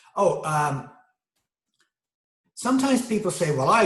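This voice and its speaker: Amid audible room echo, a man talks at a very slow pace with lively intonation. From Great Britain. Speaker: video essayist. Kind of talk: monologue lecture. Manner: halting, many fillers.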